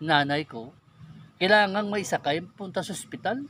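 In a dry sound with no echo, a man speaks high with lively intonation. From Philippines, Negros Occidental; Philippines. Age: 40s. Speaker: YouTuber, religious and political commentator; YouTuber, political commentator. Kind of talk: personal testimony and political commentary. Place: forest. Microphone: phone near.

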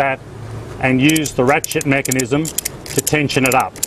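Light background noise sits under a dry sound with no echo. The man speaks at a moderate pace. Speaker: presenter. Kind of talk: tutorial. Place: street.

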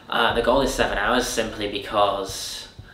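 There is audible room echo around this man's voice. He speaks at a fairly slow pace. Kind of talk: interview answer. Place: home room.

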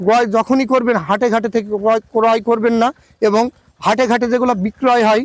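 A man speaks at an extremely high pitch in a flat monotone. His loudness stays very even, and the sound is dry and close with no echo. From Bangladesh, Meherpur district. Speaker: sheep farmer. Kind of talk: sales pitch.

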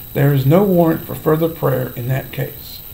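Light noise is audible in the background. A man speaks over it. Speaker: Bible teacher. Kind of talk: sermon-style Bible teaching vlog. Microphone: webcam.

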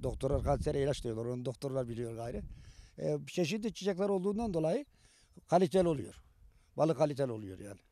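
A man's very fast, fairly high-pitched voice, dark and mellow in tone, with very wide pitch swings, big swings in loudness and a dry sound with no echo. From Turkey. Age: 70s. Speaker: beekeeper. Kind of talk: interview answers. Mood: pleased, upbeat. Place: open country. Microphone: handheld.

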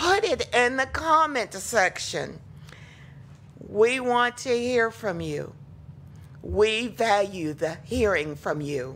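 A woman with a high pitch. She speaks at a very slow pace. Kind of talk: church welcome announcements. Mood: warm, welcoming. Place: church. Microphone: podium.

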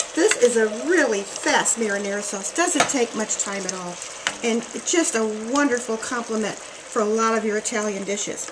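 A fairly slow delivery against noticeable background noise. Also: woman. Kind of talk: tutorial. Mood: warm, cheerful. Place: kitchen. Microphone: camera far.

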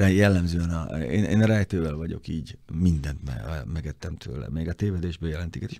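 Delivered at a moderate pace with hardly any pauses, the voice has a dark, mellow tone and ordinary pitch variation, and the sound is dry with no echo. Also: man, quiet background. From Hungary. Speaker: motoring journalist. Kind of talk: casual chat. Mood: reflective, calm. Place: studio. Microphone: studio mic.

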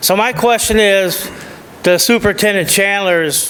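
With an American accent, a man speaks using ordinary pitch variation. Background noise is noticeable. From US Midwest, Illinois (Peoria Heights). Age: 60s. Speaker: resident giving public comment. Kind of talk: public comment at a council meeting.

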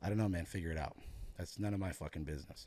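Speaking very fast, a man delivers his words in a dark, mellow tone. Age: 30s. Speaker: powerlifting gym owner and coach. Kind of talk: casual chat. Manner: animated. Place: studio. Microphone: studio mic.

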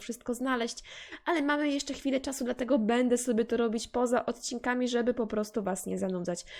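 Very fast in pace, a woman talks at a high pitch with ordinary pitch variation. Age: 20s. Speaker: gaming youtuber. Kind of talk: let's play commentary. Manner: casual, chatty.

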